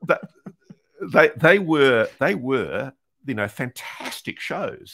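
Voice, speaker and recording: A man speaks at a fairly slow pace. The sound is dry and close with no echo, on a very clean recording against a silent background. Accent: Australian. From New Zealand and Australia, born in UK. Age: 60s. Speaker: investigative journalist. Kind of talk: interview.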